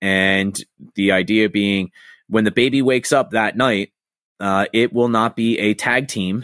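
At a moderate pace, a man with an American accent talks in a normal speaking voice, fairly low in pitch with fairly even intonation, in a very clean, dry, close recording with a silent background and no echo. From Philadelphia area. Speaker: podcast co-host. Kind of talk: casual chat.

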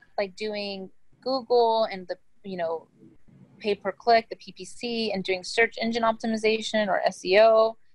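An ordinary speaking voice at a fairly slow pace, with big swings in loudness, fairly even intonation and a dry, close sound with no echo. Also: woman, fairly high pitch for a woman. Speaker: business founder. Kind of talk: interview.

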